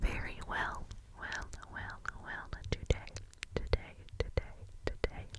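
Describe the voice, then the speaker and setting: At a fairly slow pace, a whispering voice comes through noticeable background noise. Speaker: ASMR creator. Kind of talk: ASMR whisper ramble. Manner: whispered.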